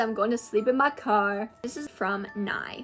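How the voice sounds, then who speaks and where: With music in the background, a woman speaks in an animated tone with lively intonation. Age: 20s. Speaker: content creator. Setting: at home.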